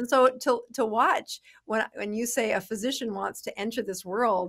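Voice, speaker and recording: The background is free of noise. A woman talks, her pitch varying in an ordinary way. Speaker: podcast guest. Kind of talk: interview answer. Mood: warm, animated. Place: office. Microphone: studio mic.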